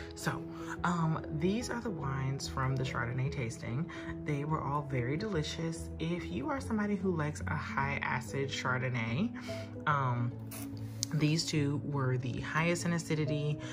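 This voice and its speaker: A woman speaks at a moderate pace with clear music playing in the background. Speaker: wine vlogger. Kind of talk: casual vlog chat. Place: home room. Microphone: phone near.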